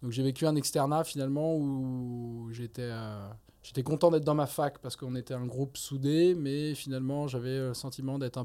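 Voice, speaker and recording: This man's medium-pitched voice has a dark, mellow tone and monotone, flat intonation, and he talks at a moderate pace. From France. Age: 30s. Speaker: neurosurgeon and anatomy lecturer. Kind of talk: casual interview.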